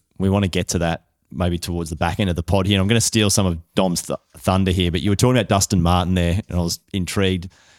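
With an Australian accent, a man talks at a very fast pace in a very deep, low voice. The recording is very clean, with a silent background and a dry, close sound with no echo. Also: hardly any pauses. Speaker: football journalist. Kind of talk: casual chat. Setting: studio.

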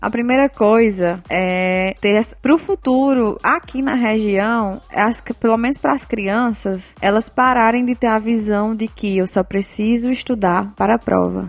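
A woman speaks in a normal speaking voice with a fairly high pitch and ordinary pitch variation. She talks with hardly any pauses and very even loudness. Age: 20s. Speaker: education entrepreneur, tutoring business owner. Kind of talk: interview.

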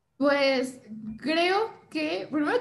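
Very slow speech from a woman with lively intonation over noticeable background noise. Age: 20s. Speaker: film student and content creator. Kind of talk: casual chat.

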